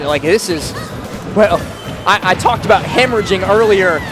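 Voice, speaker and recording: A man with an American accent speaks in a high pitch at a fairly quick pace. Music plays in the background. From West Virginia (Morgantown). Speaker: esports commentator. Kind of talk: live commentary. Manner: animated.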